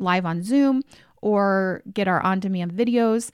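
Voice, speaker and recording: A woman with a plain, everyday voice speaks at a medium pitch with fairly even intonation. The recording is very clean, with a silent background. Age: 40s. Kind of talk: solo podcast monologue. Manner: conversational, frequent fillers and laughs.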